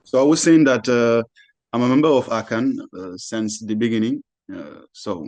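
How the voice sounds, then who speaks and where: At a moderate pace and with ordinary pitch variation, a man talks with a French accent. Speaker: panelist, artist and activist. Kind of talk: panel discussion. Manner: halting, many repetitions.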